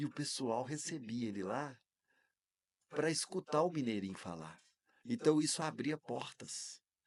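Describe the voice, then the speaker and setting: A man talks at a medium pitch in a plain, everyday voice. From Minas Gerais, Brazil (Varginha). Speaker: speech therapist and public speaking teacher. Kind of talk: podcast interview.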